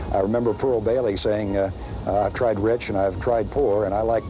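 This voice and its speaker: Against music in the background, a man with a fairly low pitch talks at a fairly quick pace with fairly even intonation. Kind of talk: testimonial interview. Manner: hesitant.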